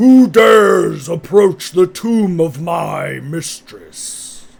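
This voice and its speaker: Using a put-on character voice, a man pitches his speech high. He talks at a very slow pace. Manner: commanding, menacing.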